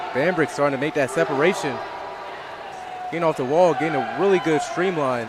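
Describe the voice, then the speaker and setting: Over noticeable background noise, a man with a fairly high pitch and ordinary pitch variation speaks at a fairly quick pace with long, frequent pauses. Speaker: sports commentator. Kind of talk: live commentary.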